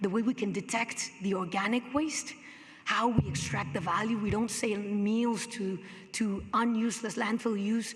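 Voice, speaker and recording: The woman talks amid audible room echo and noticeable background noise. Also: fairly high pitch for a woman, ordinary pitch variation, moderate pace. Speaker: hotel company sustainability executive. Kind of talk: conference presentation.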